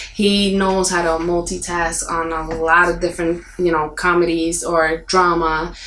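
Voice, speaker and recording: Through noticeable background noise and audible room echo, a woman speaks at a fairly low pitch. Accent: Puerto Rican. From Puerto Rico. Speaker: actress. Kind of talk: interview. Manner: mumbling.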